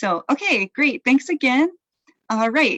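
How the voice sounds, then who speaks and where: A woman speaks in an East Coast accent. The sound is dry and close, with no echo. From US East Coast. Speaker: event emcee. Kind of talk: casual announcements.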